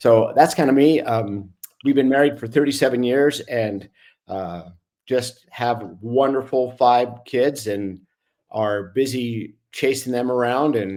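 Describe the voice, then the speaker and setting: A man has a plain, everyday voice at medium pitch with ordinary pitch variation. The recording is very clean, with a silent background. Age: 60s. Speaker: retired orthopedic surgeon, bereaved father. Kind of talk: podcast interview, personal story.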